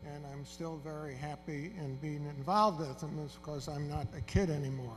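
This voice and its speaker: Against music in the background, a man speaks fairly slowly with a fairly high pitch and fairly even intonation. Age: 70s. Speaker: emeritus professor, honoree. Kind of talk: award acceptance speech. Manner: halting.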